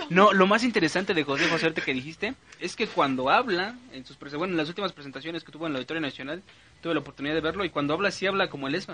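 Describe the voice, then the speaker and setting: Very fast speech from a man, high-pitched, with ordinary pitch variation and noticeable background noise behind it. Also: big swings in loudness. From central Mexico (State of Mexico). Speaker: radio show host. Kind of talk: casual chat. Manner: halting, many fillers.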